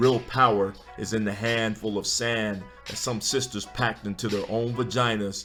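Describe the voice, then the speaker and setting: Over music in the background, a man speaks at a moderate pace with a fairly low pitch and fairly even intonation. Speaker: spoken word poet. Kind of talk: spoken word poetry performance. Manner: rhythmic, emphatic delivery.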